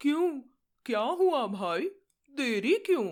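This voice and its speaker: Using a put-on character voice, a woman talks at a high pitch with very wide pitch swings in a very clean recording with a silent background. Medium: read story. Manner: earnest.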